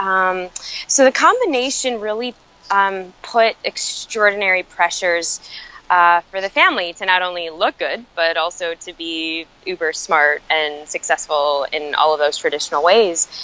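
In a normal speaking voice, the woman keeps her pitch at a medium level. She moves at a moderate pace with lively intonation. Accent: American. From US Midwest, Chicago. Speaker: author and emotional intelligence educator. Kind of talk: podcast interview. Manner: frequent fillers like um and you know.

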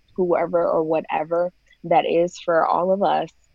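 With an American accent, a woman in a fairly low voice speaks at a very slow pace with monotone, flat intonation. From Florida, US. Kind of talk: casual interview.

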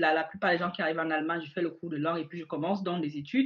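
A woman talks with a fairly low pitch. Her pitch varies in an ordinary way. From Cameroon. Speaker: entrepreneur. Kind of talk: interview. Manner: hesitant.

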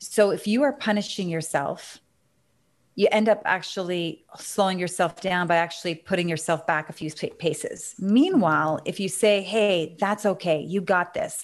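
A woman with an ordinary speaking voice, medium pitch and ordinary pitch variation at a moderate pace, over a quiet background. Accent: Canadian. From Canada. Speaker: business consultant and author. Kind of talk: interview.

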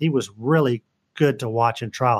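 With an American accent and an ordinary speaking voice, a man talks at a moderate pace and with fairly even intonation, the sound dry and close with no echo. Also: quiet background. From Northern Virginia and Houston, Texas. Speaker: trial lawyer. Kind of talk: interview.

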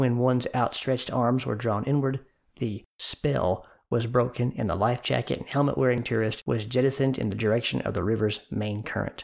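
In an American accent, a man talks at a fairly quick pace and medium pitch in a normal speaking voice with ordinary pitch variation. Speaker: podcast host and educator. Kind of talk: dramatic narration. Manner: measured, suspenseful storytelling.

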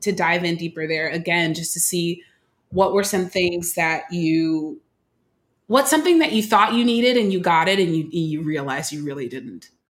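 The speaker has an American accent and ordinary pitch variation. The pace is moderate. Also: woman, fairly low pitch for a woman. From Oakland, California. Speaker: nonprofit executive director. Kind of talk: casual chat.

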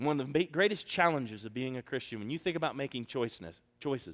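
The speech is loud and comes at a moderate pace in a very clean recording with a silent background. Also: man. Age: 40s. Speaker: pastor. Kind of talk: Sunday sermon from the pulpit, drawing call-and-response amens from the congregation. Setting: church. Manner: emphatic, rhythmic preaching cadence with repeated phrases.

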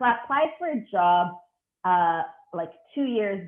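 The speaker has an Italian accent and lively intonation. The pace is fairly slow. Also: woman. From Italy. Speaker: cinematographer. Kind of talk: interview. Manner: hesitant.

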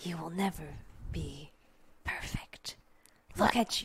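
Whispering is used for this put-on character voice. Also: moderate pace. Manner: taunting.

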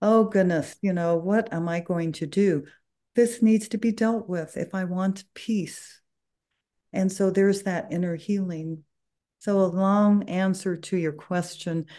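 Against a quiet background, a woman of medium pitch speaks at a fairly slow pace in a dark, mellow tone. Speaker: author and Reiki master. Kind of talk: interview conversation. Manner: warm, enthusiastic.

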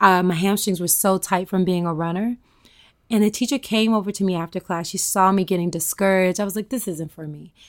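A woman speaks at a fairly quick pace in a normal speaking voice, her pitch medium, on a very clean recording with a silent background. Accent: American. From US South, rural Tennessee. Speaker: yoga and wellness expert. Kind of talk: interview. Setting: at home.

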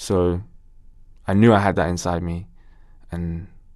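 Monotone and flat, a man with a London accent talks in a very deep, low pitch. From Ilford, east London, England. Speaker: actor and musician. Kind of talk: casual interview chat.

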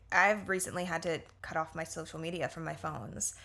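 A woman with an American accent, music in the background. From Florida, US (Orlando). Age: 20s. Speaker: yoga and meditation teacher. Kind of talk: casual chat.

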